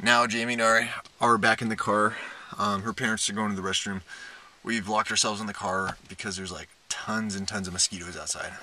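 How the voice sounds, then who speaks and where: A man's fairly low, flat monotone at a very fast pace, dry with no echo, over light background noise. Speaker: vlogger. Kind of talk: casual vlog chat. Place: car. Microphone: phone near.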